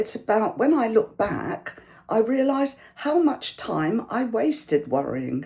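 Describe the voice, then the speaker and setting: A woman with a British accent speaks in a dark, mellow tone with vocal fry and very wide pitch swings. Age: 70s. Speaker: YouTuber. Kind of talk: casual talk to camera. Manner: warm conversational.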